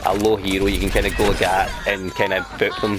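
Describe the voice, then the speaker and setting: Over noticeable background noise, a man with a strong Scottish accent talks at a moderate pace. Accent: Scottish, thick. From Scotland. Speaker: gamer. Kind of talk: game tutorial commentary. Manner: casual.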